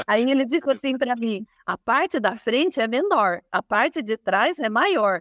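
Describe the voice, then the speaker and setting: Very wide pitch swings at a moderate pace, in a dry, close sound with no echo and a very clean recording with a silent background. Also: woman. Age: 50s. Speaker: fashion designer and business owner. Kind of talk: interview.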